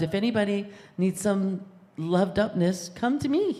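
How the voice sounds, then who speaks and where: Lively intonation from a woman at a moderate pace, with noticeable background noise. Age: 60s. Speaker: congregation member. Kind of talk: testimony.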